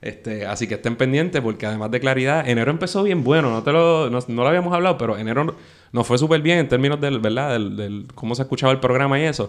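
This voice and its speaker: A man at a very fast pace, medium in pitch. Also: ordinary pitch variation. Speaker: podcast host. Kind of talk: casual interview.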